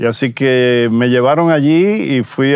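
A man with a Dominican accent at a very slow pace, in a dry sound with no echo. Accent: non-Spanish (Dominican). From Dominican Republic. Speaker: pastor. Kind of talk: testimony. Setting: outdoors. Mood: warm, reflective, smiling. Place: forest. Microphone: lapel.

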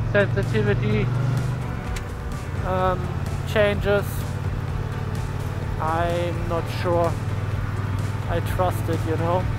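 The speech moves at a very slow pace with long, frequent pauses, a dry sound with no echo, and music playing in the background. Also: man. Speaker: motovlogger. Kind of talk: casual vlog chat. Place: motorbike. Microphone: helmet.

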